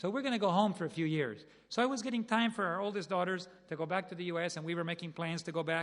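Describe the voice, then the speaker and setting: Very fast speech with ordinary pitch variation, in a Spanish accent. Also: man. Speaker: preacher. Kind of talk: sermon.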